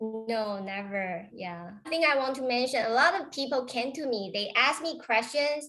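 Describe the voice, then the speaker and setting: A high-pitched woman with a Taiwanese accent, lively intonation, a moderate pace and hardly any pauses, over background music. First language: Chinese. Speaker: real estate agent. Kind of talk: interview.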